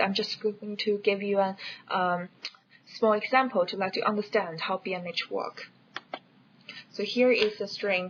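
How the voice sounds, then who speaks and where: A woman's medium-pitched voice moves at a moderate speed, her intonation fairly even. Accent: non-native. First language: not English. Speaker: educational video creator. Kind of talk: tutorial. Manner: hesitant, with fillers.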